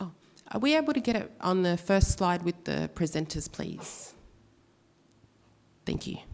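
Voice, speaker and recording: A woman with an Australian accent speaks at a fairly low pitch with lively intonation and long, frequent pauses. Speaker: panel facilitator. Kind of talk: conference panel moderation. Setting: stage with audience. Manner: halting.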